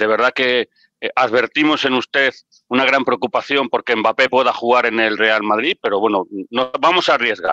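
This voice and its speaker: Over a quiet background, a man speaks at a moderate pace with very even loudness and a bright, sharp tone, the sound dry with no echo. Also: ordinary pitch variation. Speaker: football pundit. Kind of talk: casual debate. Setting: video call. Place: home room. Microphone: headset.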